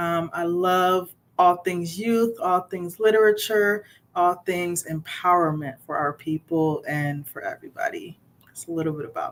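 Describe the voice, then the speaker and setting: In a normal speaking voice, a woman talks at a moderate pace with a fairly low pitch, fairly even intonation and big swings in loudness. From Ghana, immigrated to US at 5. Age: 30s. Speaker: children's author and social worker. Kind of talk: interview.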